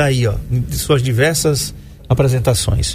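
Noticeable background noise and audible room echo are both present as a man talks. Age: 50s. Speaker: radio health show host. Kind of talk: radio interview.

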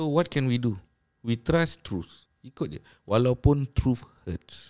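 The speaker is a man. His pitch is in the middle range. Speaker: Islamic religious teacher. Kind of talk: casual podcast interview on religion. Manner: code-switching Malay and English.

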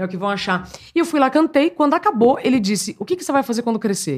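A woman at a fairly quick pace with very wide pitch swings, on a very clean recording with a silent background. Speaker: journalist. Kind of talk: casual chat. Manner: naturally projected, broadcast-style.

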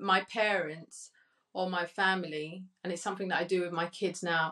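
A woman in a British accent, medium in pitch, at a fairly slow pace. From Colombia, Cali; raised in UK from age 10. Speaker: digital marketing agency owner. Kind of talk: panel discussion.

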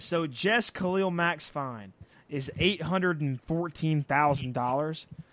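In an American accent, a man with an ordinary speaking voice talks at a fairly slow pace, his fairly high pitch showing ordinary variation. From US South. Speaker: podcast co-host and producer. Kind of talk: casual chat.

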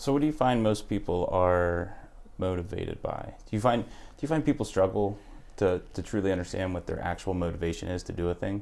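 With a normal speaking voice, a man of fairly low pitch talks at a fairly quick pace with lively intonation. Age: 30s. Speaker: podcast host. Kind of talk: casual interview.

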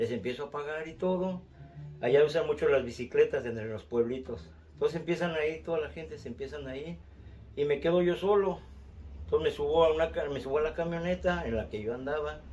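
A man's somewhat breathy, fairly high voice at a fairly quick pace, with big swings in loudness. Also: ordinary pitch variation. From Mexico City. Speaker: storyteller, relative of host. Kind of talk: recorded testimony.

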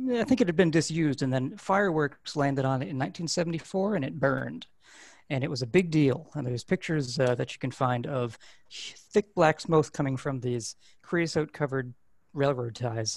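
A man with an American accent speaks at a moderate pace in a fairly high pitch, his intonation lively. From US Northeast, Hudson Valley, New York. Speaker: print shop owner. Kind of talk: casual interview. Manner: halting, many fillers.

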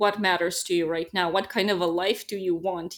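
A woman speaks with a Serbian accent at a medium pitch. Her pace is moderate, and the recording is very clean with a silent background. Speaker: relocation business owner, expat. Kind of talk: casual interview.

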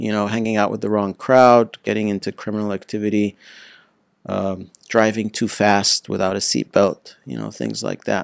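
In an American accent, a man with an ordinary speaking voice talks at a moderate pace with fairly even intonation, the sound dry and close with no echo. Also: fairly low pitch for a man. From United States, childhood partly in Egypt. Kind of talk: interview.

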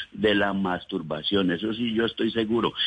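With an unremarkable speaking voice, a man talks at a moderate pace and a fairly low pitch. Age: 60s. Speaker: caller. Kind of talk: testimony. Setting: phone call.

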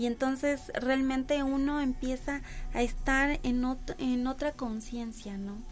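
Over background music, a woman speaks at a very slow pace in a high voice with ordinary pitch variation. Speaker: body-focused therapist. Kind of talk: radio interview. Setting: radio studio.

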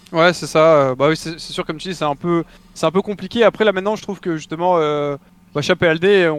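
In a dry, close sound with no echo, a man with a fairly high voice speaks at a moderate pace with fairly even intonation. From southeastern France (Mougins, near Cannes). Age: 20s. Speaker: esports player and streamer. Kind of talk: interview.

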